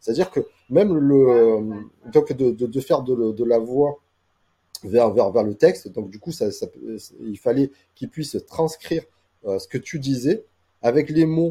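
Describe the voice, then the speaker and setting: Long, frequent pauses break up a man's dark, mellow voice, which shows big swings in loudness. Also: medium pitch for a man, fairly slow pace. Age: 40s. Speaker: AI and SEO specialist. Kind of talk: casual interview. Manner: halting with many repetitions.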